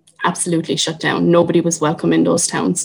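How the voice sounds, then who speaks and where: A woman speaks with a Cork accent. Her pitch sits fairly low. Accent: Cork Irish. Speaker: artist and Traveller activist. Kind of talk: public talk.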